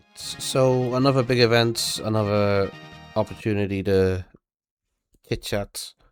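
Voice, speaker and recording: Over music in the background, a man talks at a fairly slow pace with long, frequent pauses and big swings in loudness. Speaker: gaming commentator. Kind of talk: casual gameplay commentary.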